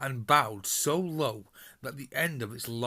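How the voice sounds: Speech in a natural reading voice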